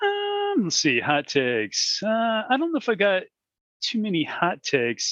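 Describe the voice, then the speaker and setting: Over a quiet background, a man with an American accent speaks at a fairly slow pace with a dry, close sound and no echo. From US Midwest, Peoria, Illinois. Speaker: podcast co-host, roller coaster enthusiast. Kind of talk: casual chat. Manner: halting, with many fillers.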